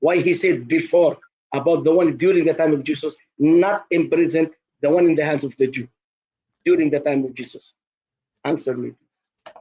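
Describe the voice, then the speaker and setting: A man with a non-native accent speaks at a moderate pace and a fairly high pitch in a dark, mellow tone. His intonation is fairly even, broken by long, frequent pauses. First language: not English. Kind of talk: heated debate.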